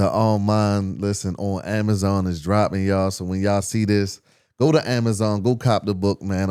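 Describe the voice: A man speaks with a clear, smooth tone and fairly even intonation. The recording is very clean, with a silent background.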